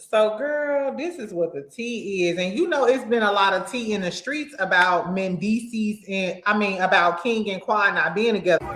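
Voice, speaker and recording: With lively intonation, a woman speaks at a moderate pace and medium pitch, with hardly any pauses. Noticeable background noise runs underneath. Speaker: celebrity gossip YouTuber. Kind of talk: casual vlog commentary.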